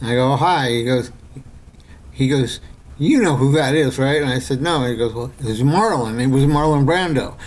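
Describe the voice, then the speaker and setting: A man's moderate-paced speech carries an audible echo from the room. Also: medium pitch for a man, ordinary pitch variation. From New York City. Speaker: screenwriter and filmmaker. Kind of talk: casual interview storytelling. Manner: halting with many repetitions and fillers.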